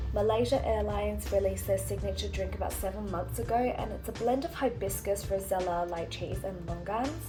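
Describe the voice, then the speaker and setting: A woman talks at a fairly quick pace with hardly any pauses. Music plays in the background. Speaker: travel vlogger. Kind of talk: travel review voiceover.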